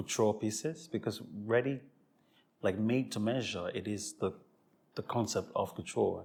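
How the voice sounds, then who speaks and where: This man's voice sits fairly low in pitch and sounds somewhat breathy. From Sierra Leone, Freetown. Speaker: fashion creative director. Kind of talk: interview. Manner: halting, frequent self-repetition.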